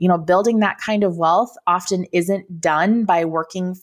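At a moderate pace, a woman with an American accent uses a normal speaking voice at medium pitch with ordinary pitch variation. The recording is very clean with a silent background. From Minnesota. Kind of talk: interview conversation.

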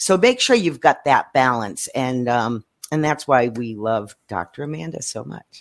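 A woman speaks with a very deep, low pitch and lively intonation at a fairly slow pace. Her loudness swings widely. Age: old. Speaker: business coach. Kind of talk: group panel discussion. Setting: video call.

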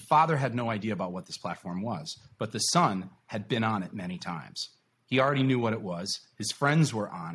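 An American-accented man talks at a fairly quick pace and medium pitch in an ordinary speaking voice. His intonation is lively, with big swings in loudness. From New York. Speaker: podcast host. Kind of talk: casual chat. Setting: video call.

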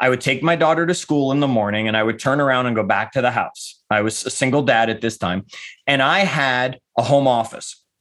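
A man with a plain, everyday voice, ordinary pitch variation and a fairly quick pace. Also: medium pitch for a man. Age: 50s. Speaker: author and life coach, former real estate agent. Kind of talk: casual interview.

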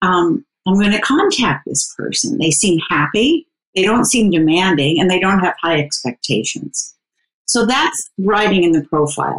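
At a moderate pace, a woman speaks with a somewhat breathy medium pitch. Her pitch swings very widely while her loudness stays very even. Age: 60s. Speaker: dating coach. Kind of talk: casual interview.

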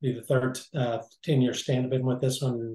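A somewhat breathy man of medium pitch, dark and mellow in tone, flat and monotone, at a fairly quick pace. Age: 70s. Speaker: businessman, former orthopedic assistant. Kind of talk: interview.

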